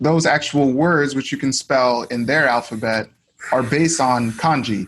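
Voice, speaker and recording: A man with an American accent, medium in pitch, with fairly even intonation. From United States. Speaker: language learner. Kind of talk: casual chat.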